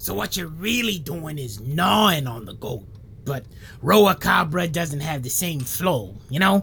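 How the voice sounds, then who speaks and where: A put-on character voice at a middle pitch moves at a fairly slow pace over clear background noise. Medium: audio drama. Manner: deadpan, rambling.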